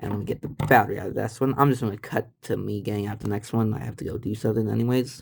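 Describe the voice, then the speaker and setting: The voice is a man's. Its pitch shifts in an ordinary way. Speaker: retro tech YouTuber. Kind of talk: casual show-and-tell video. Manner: halting, stumbling over words; casual, rambling.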